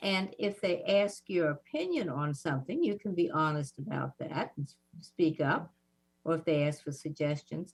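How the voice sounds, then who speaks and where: A woman speaks in a Southern US accent. Her pitch is very deep and low, with ordinary variation. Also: moderate pace. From US South. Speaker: civil rights activist. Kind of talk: interview.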